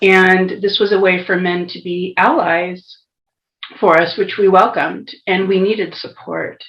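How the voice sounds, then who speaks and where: In an American accent, a woman speaks at a medium pitch. Her pace is very slow. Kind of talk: testimony in conversation.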